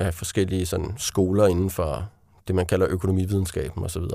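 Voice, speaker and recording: Recorded very cleanly against a silent background, a man talks at a fairly quick pace in a fairly low voice with a dark, mellow tone. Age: 30s. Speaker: author. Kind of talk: interview. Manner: halting.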